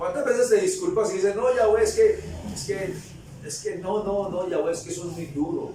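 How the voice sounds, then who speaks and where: Amid noticeable background noise and audible room echo, a man talks at a moderate pace in an animated tone, with big swings in loudness. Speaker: preacher. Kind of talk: sermon.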